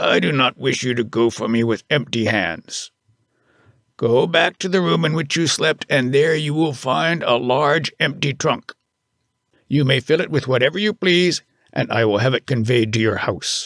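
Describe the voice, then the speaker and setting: Bellowing in a raspy, put-on character voice, a man speaks at a medium pitch. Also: moderate pace. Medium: read story. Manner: stern and blunt.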